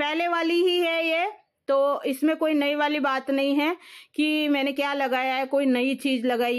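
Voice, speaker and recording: Against a quiet background, a woman with a high pitch speaks at a fairly slow pace with fairly even intonation. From Rajasthan, Jaipur; Rajasthan. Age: 40s. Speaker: vlogger. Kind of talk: vlog monologue. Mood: aggrieved, accusing someone. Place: home room. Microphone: phone near.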